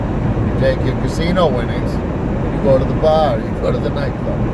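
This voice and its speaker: A man speaks in an animated tone, with audible room echo and noticeable background noise. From Massachusetts, Winthrop near Boston. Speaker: entrepreneur vlogger. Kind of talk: casual monologue vlog. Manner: loud.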